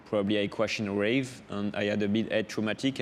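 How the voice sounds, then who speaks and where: A man with a French accent speaks at a fairly quick pace in a fairly low voice. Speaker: offshore racing sailor. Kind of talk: interview. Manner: halting, many hesitations.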